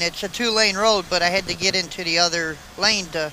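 Using a raised, projected voice, a man speaks at a moderate pace with fairly even intonation. The sound is dry with no echo, over light background noise. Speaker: truck driver vlogger. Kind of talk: casual vlog chat. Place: car. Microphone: camera far.

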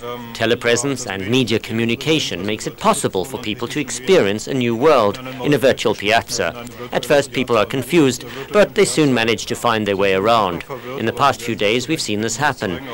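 A man talks at a fairly quick pace with ordinary pitch variation. Noticeable background noise runs behind him. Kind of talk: interview answer. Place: studio.

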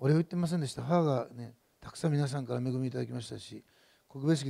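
A man talks against a quiet background, his pitch varying in an ordinary way. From Japan. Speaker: pastor. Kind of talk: sermon. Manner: fast. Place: church. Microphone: headset.

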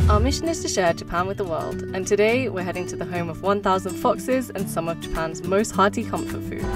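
A woman's fairly quick speech over clear background music, the sound dry with no echo. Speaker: travel vlogger. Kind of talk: casual vlog chat.

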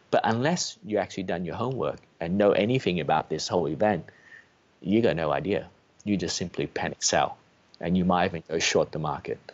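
Speaking at a fairly quick pace with an Australian accent, a man has a very deep, low voice and ordinary pitch variation. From Australia, rural Victoria. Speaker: trader; guest. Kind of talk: interview. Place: home room. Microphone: video call.

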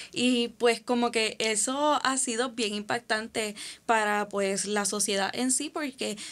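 A woman with a fairly high voice and ordinary pitch variation talks very slowly. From Puerto Rico. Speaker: podcast host. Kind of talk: interview conversation. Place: studio. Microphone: studio mic.

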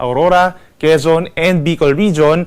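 A man speaks in a plain, everyday voice, pitched fairly high. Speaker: weather forecaster. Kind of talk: weather report. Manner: formal; brisk, informative.

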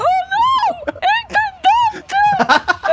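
Extremely high pitch from a put-on character voice

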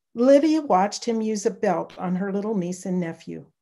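A natural voice, reading aloud.

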